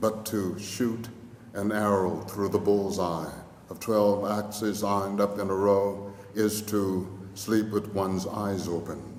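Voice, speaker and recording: Over noticeable background noise, a man with a fairly low pitch speaks very slowly in a monotone, flat intonation. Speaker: poet. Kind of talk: poetry reading. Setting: lecture hall.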